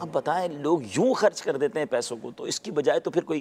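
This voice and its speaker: A man is speaking. His pitch is high. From Karachi, Pakistan. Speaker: Islamic scholar and preacher. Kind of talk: interview answer.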